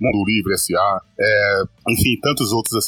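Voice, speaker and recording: With a dry, close sound and no echo, a man talks at a medium pitch and moderate pace with ordinary pitch variation. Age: 40s. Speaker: football podcast co-host. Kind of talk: casual chat.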